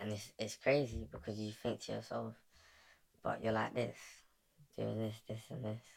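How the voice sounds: At a moderate pace, a man with a British accent speaks with long, frequent pauses.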